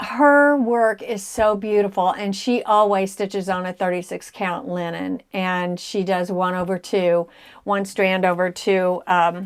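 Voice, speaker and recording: A woman talks at a fairly slow pace with ordinary pitch variation. She has a normal speaking voice. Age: 60s. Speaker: cross stitch video blogger. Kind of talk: casual chat.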